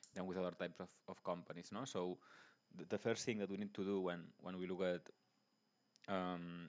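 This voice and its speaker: A man's very deep, low voice with a Spanish accent, monotone and flat in intonation, at a moderate pace. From Spain. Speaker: investing YouTuber. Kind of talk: tutorial. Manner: halting, many fillers and restarts.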